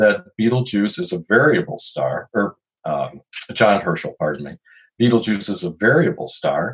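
A man with an American accent speaks at a moderate pace and medium pitch, his vocal fry and very wide pitch swings caught in a dry, close sound with no echo. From Chicago. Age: 60s. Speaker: retired photojournalist and astronomy writer. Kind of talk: interview.

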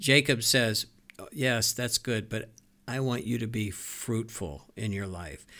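Very clean, with a silent background, the recording has a man speaking at a fairly slow pace in a bright, sharp tone, at medium pitch with ordinary pitch variation. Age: 60s. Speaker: pastor. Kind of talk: casual chat. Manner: halting.

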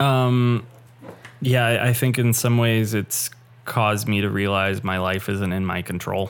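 A man's unremarkable speaking voice, fairly low in pitch, fairly slow, with fairly even intonation. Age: 20s. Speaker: podcast co-host. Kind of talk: casual interview conversation.

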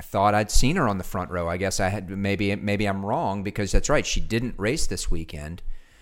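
Vocal fry runs through this man's fairly low voice. His pitch shows ordinary variation. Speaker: podcast co-host and cyclocross racer. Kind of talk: casual banter podcast.

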